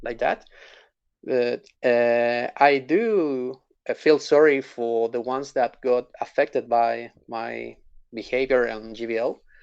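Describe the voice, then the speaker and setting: Against a quiet background, a man with a non-native accent speaks at a very slow pace with fairly even intonation. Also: medium pitch for a man. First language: not English. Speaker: gamer, guest interviewee. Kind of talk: interview. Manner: halting.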